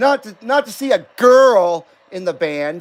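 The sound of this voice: At a fairly slow pace, a man speaks with a high pitch and lively intonation.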